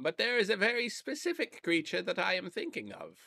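A put-on character voice, fairly high in pitch and fairly quick in pace. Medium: actual play. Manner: teasing, mock-formal.

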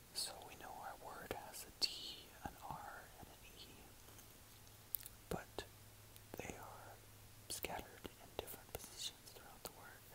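Over noticeable background noise, a whispered voice moves at a fairly slow speed, broken by long, frequent pauses. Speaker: ASMR creator. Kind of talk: ASMR gameplay commentary.

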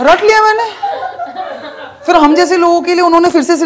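Extremely high pitch from a man at a moderate pace, over noticeable background noise. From Bengal, India. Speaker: stand-up comedian. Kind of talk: stand-up. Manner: animated. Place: stage. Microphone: handheld.

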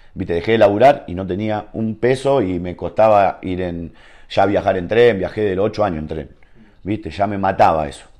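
Against a quiet background, a man talks at a fairly low pitch with an Argentine accent. His tone is dark and mellow. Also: ordinary pitch variation, moderate pace. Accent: Rioplatense Argentine Spanish. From Argentina. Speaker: professional footballer; guest. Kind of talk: casual interview chat. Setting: at his home. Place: home room.

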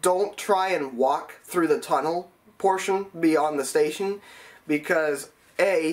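A man with a high-pitched voice talks at a fairly slow pace. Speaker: transit enthusiast vlogger. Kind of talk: explainer vlog. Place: home room.

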